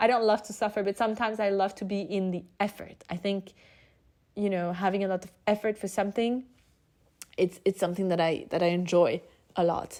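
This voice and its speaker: A woman's medium-pitched voice, dark and mellow in tone, at a fairly quick pace with monotone, flat intonation. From France. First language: French. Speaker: podcast host. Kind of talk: casual monologue. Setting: at home.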